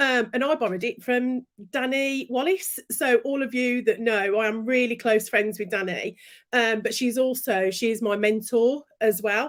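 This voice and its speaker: With a Brummie accent, a woman speaks at a moderate pace in a fairly high pitch with ordinary pitch variation. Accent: Brummie (Birmingham) English. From Birmingham, England. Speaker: business and branding coach. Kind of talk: interview. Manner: animated.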